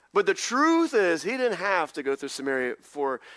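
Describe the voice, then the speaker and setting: A man speaks in a Southern US accent with an animated tone and lively intonation. The recording is very clean, with a silent background. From US South, North Carolina. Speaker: pastor. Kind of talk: sermon. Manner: fast.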